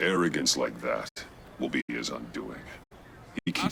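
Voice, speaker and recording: Growling in a put-on character voice, a man speaks at a very deep, low pitch and moderate pace, the sound dry and close with no echo. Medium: video game. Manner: terse, low-key.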